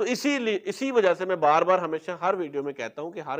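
This man talks at a fairly quick pace. His intonation is lively.

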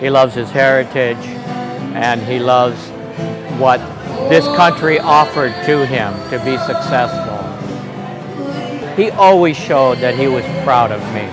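Clear music plays in the background as a man speaks at a fairly slow pace with ordinary pitch variation and long, frequent pauses. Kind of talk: interview answer. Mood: warm, proud, reflective. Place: cafe. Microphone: lapel.

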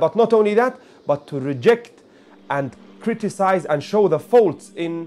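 Lively intonation marks this man's speech, delivered at a moderate pace. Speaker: religious teacher. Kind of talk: religious reflection talk. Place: home room.

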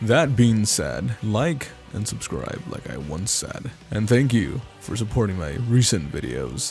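With music playing behind him, a man at a fairly low pitch speaks at a fairly slow pace, barely pausing, his pitch swinging very widely. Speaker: gamer. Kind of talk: casual talk to camera. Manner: sarcastic, crude, comedic.

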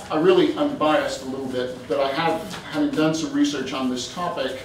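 There is audible room echo and noticeable background noise as a man speaks at a moderate pace. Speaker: guest lecturer. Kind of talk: lecture. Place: hall. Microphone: camera far.

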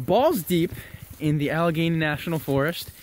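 Over light background noise, a man talks at a fairly slow pace in a dry sound with no echo. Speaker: hiking vlogger. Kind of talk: casual vlog chat. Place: forest. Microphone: phone near.

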